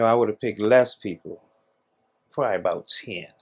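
A man with fairly even intonation against a quiet background. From Washington DC. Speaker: social entrepreneur and reparations commission member; guest. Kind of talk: interview. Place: home room.

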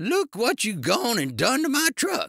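A man shouts in a put-on character voice with an extremely high pitch, very wide pitch swings and a bright, sharp tone. It is croaky with vocal fry and a slightly husky edge, delivered at a fairly slow pace. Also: dry, close sound with no echo, very clean recording, silent background.

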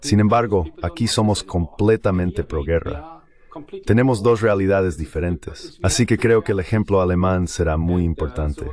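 Speaking with a German accent, this man has a very deep, low pitch. He keeps a moderate pace and lively intonation. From East Germany. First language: German (speaking Spanish). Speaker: diplomat and politician. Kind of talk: interview.

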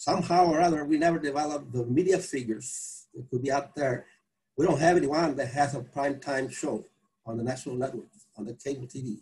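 Somewhat breathy and fairly high for a man, his voice moves at a fairly quick pace with ordinary pitch variation. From Texas. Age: 80s+. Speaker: civil rights activist, movement co-founder; panelist. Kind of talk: panel discussion. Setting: video call. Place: home room. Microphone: video call.

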